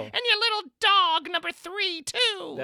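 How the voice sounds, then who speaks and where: Cackling in a put-on character voice, a man speaks at a fairly slow pace with an extremely high pitch. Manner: cackling, gloating.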